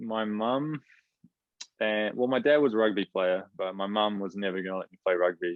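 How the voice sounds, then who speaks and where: Speaking in a New Zealand accent, a man uses a fairly low pitch with ordinary pitch variation. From New Zealand, Rotorua. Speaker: professional footballer. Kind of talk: casual interview chat.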